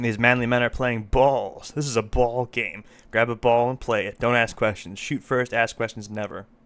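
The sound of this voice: Fairly even intonation runs through this unforced reading voice.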